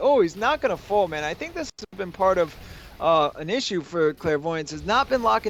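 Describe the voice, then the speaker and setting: A man with a New York accent talks at a moderate pace in a high pitch, his intonation lively. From New York City, Long Island. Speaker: esports caster. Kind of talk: live commentary. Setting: livestream with chat.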